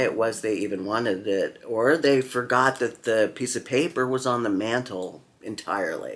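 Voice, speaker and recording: A man with an unremarkable speaking voice talks at medium pitch and a fairly slow pace on a very clean recording with a silent background. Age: 60s. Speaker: knife enthusiast vlogger and author. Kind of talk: casual vlog monologue.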